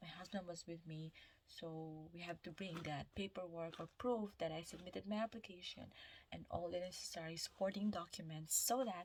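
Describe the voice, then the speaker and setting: A woman with a Filipino accent and a fairly low pitch. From Philippines, Visayas. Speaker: nurse vlogger. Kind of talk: casual vlog storytelling. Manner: halting, self-correcting.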